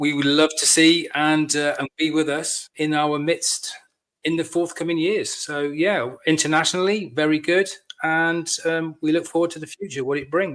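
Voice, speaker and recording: Fairly high-pitched male voice with a West Country accent, fairly even intonation and a moderate pace. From Devon, England. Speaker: lodge master, military veteran. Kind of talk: podcast interview.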